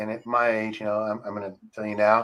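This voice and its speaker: A man speaks with an American accent in a bright, sharp tone. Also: very clean recording, silent background. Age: 60s. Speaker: country radio DJ. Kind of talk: casual interview chat.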